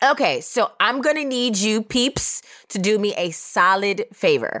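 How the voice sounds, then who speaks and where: In a normal speaking voice, a woman with an American accent talks at a fairly high pitch with lively intonation. The recording is very clean, dry and close, with a silent background and no echo. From Oakland, California. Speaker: podcast host. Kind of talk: casual chat.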